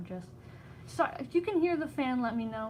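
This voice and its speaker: Somewhat breathy, a woman talks at a moderate pace. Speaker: livestreamer and crocheter. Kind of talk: casual chat. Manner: halting.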